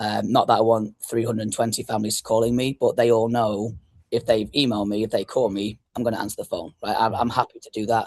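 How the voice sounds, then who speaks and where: A man with an English accent talks at a very fast pace with hardly any pauses. His medium-pitched voice has a monotone, flat intonation. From northwest England (Blackpool). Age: 30s. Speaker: youth soccer club founder and coach. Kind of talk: podcast interview. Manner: fast-talking.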